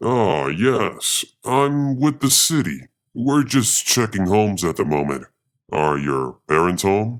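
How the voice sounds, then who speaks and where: A man's put-on character voice, fairly low in pitch, with very wide pitch swings and a fairly slow pace. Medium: read story. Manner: casual, falsely polite.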